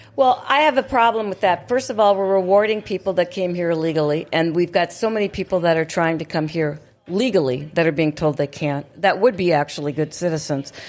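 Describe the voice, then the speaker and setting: A woman speaks in a normal speaking voice, fairly low in pitch for a woman and full of lively intonation. She moves at a fairly quick pace with hardly any pauses. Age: 60s. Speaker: radio host. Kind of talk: casual talk show chat. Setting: studio.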